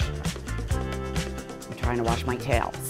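A woman talks with a Philadelphia accent. Clear music plays in the background. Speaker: interviewee, local resident. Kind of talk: interview answer. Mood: animated, amused storytelling. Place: meeting room.

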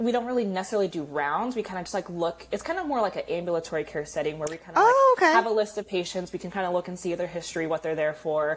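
Talking at a very fast pace, a woman leaves hardly any pauses, her pitch varying in an ordinary way. Light background noise can be heard. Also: fairly low pitch for a woman. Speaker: guest. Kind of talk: interview answer. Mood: upbeat, friendly. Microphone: earbuds.

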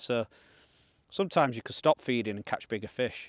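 A man talks fairly quickly at a medium pitch, which shifts in an ordinary way.

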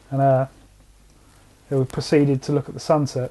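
A dark, mellow, somewhat breathy voice with monotone, flat intonation at a fairly quick pace. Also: man. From England. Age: 40s. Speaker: alien encounter witness; witness. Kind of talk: interview testimony. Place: home room.

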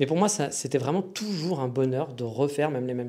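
Talking at a very fast pace, a man holds a medium pitch with ordinary pitch variation. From France. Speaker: podcast host. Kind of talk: casual podcast monologue. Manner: hesitant, many fillers.

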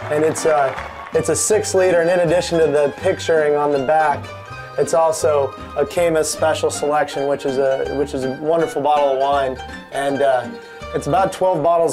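A man speaks at a very even loudness, with clear music playing in the background. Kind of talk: casual tour. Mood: cheerful, proud. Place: home room.

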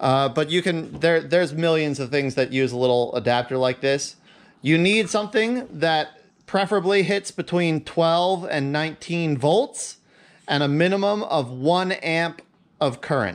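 Lively intonation colors a man's fairly slow speech. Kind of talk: tutorial. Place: garage.

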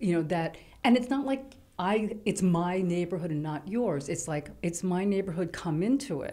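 In a New York accent, a woman speaks at a medium pitch with lively intonation. Her tone is dark and mellow. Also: moderate pace. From New York City, Lower East Side; New York City. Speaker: writer; guest. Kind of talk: casual chat. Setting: studio. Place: studio. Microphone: studio mic.

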